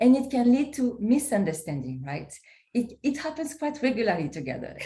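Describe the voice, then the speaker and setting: A woman speaks in a dark, mellow tone. Her voice is somewhat breathy. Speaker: poet and co-author. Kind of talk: interview conversation. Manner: halting.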